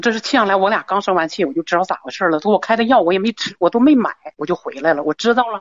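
Her intonation lively, a woman races along at a very fast pace. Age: 50s. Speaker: caller. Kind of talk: call-in advice show. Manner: halting.

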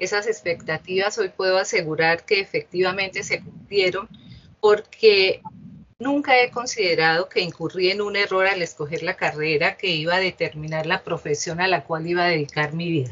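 A woman talks in a plain, everyday voice, keeping a medium pitch, ordinary pitch variation and a moderate pace. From Colombia, Bucaramanga (Santander). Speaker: judge. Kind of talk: interview. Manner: formal.

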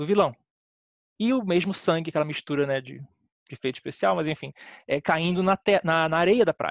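A man speaks in a high pitch with lively intonation, the sound dry and close with no echo. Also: quiet background. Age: 30s. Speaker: film critic. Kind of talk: casual chat.

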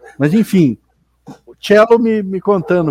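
A man talks at a fairly slow pace in a dark, mellow tone. The sound is dry and close, without echo. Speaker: podcast co-host. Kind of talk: casual chat.

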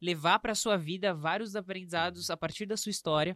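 Speaking in a plain, everyday voice, a woman with a fairly low pitch moves at a fairly quick pace with ordinary pitch variation, recorded dry and close with no echo. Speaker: podcast host. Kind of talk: casual interview chat.

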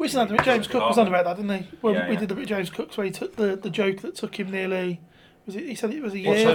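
Over noticeable background noise, a man talks at a very fast pace in a squeaky, high voice with ordinary pitch variation. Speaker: stand-up comedian, podcast guest. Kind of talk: casual, swearing banter.

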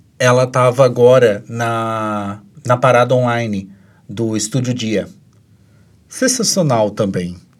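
The speech moves at a very slow pace with long, frequent pauses on a very clean recording with a silent background. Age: 30s. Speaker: podcast co-host. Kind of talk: casual chat. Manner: animated.

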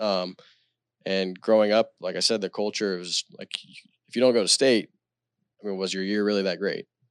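A man speaks with a Texan accent, his pitch fairly low and his intonation fairly even. The recording is very clean, with a silent background. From Texas, Celina. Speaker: high school football coach, former college quarterback. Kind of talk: casual chat.

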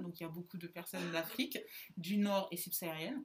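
A woman's very fast speech plays out over noticeable background noise. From central France, small town. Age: 20s. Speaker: podcast co-host, student. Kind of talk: casual chat.

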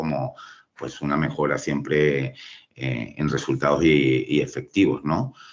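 Vocal fry marks this man's speech. His pitch varies in an ordinary way. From Venezuela. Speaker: civil engineer. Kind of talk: interview. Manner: halting, many fillers.

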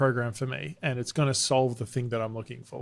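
An Australian-accented man at medium pitch and a fairly quick pace, on a very clean recording with a silent background. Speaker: presentation and sales coach, keynote speaker. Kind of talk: podcast interview.

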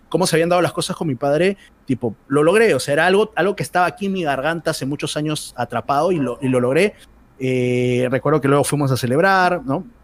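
Pitched fairly high, a man's voice races along at a very fast pace. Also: ordinary pitch variation, dry, close sound with no echo. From Peru. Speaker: esports commentator. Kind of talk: interview.

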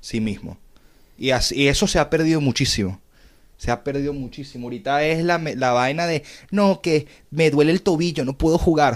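A man with a Venezuelan accent, fairly high in pitch with ordinary pitch variation, at a moderate pace, on a very clean recording with a silent background. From Venezuela, Caracas. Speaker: podcast host. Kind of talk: casual chat.

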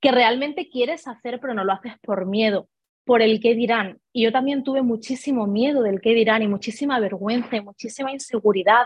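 A woman speaks at a fairly high pitch. Her pace is fairly quick. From Spain, Ibiza then Seville province. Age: 20s. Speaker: network marketing leader. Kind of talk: interview.

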